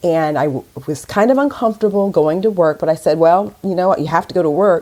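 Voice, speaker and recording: With an American accent, the speaker talks at a very fast pace in a dark, mellow tone with lively intonation. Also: woman, fairly low pitch for a woman. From US Midwest, Westerville near Columbus, Ohio. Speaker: corporate professional. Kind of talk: interview.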